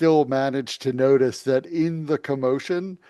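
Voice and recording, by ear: With fairly even intonation, the clip is reading aloud in a natural voice.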